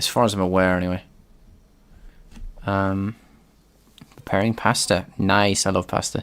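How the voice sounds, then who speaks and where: With long, frequent pauses, a man speaks at a fairly low pitch in a monotone, flat intonation. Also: moderate pace. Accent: British. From UK. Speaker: game developer streamer. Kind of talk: live coding stream. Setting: live stream. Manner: halting, with many fillers.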